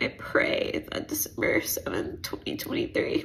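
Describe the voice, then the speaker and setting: A woman whispers with an American accent. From US South, Atlanta; US South. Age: 20s. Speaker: teacher, vlogger; teacher sharing a personal story. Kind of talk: video diary; casual vlog chat. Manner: emotional, halting. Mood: serious, personal, hopeful. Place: home room. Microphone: phone near.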